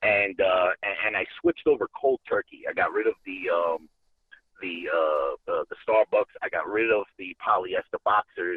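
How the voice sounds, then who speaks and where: Here a man speaks with a New York accent. His pace is moderate. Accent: Bronx New York. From New York City, the Bronx. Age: 40s. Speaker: caller. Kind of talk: casual chat. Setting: phone call.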